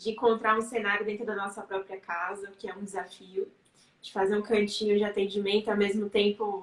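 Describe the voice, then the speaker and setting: The speaker talks at a fairly quick pace in a monotone, flat intonation, with big swings in loudness. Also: woman, medium pitch for a woman. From Bahia, Brazil (Serrinha, sertão). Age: 20s. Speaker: psychologist and writer. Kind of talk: interview on a live stream. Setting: online live stream.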